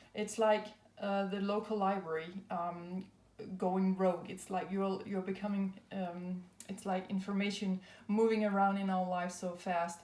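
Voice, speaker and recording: A woman with a non-native accent speaks at a moderate pace in a monotone, flat intonation, with audible room echo. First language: not English. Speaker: tarot and astrology reader. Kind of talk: spiritual card reading. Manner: hesitant, many fillers.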